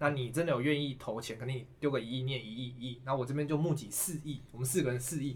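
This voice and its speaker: A man with a Taiwanese accent speaks very fast at a medium pitch, barely pausing, his voice somewhat breathy and his intonation fairly even. Room echo is audible around him. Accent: Taiwanese Mandarin. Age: 20s. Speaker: securities worker, finance expert. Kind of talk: casual chat.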